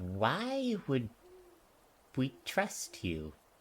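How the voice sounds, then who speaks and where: Put-on character voice from a man at medium pitch, full of very wide pitch swings. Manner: suspicious.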